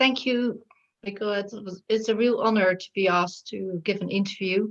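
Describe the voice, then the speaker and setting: A woman with a Dutch accent talks at a moderate pace, her pitch in the medium range. Her loudness swings a lot, while her intonation stays fairly even. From Netherlands. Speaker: shamanic healer. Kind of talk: interview.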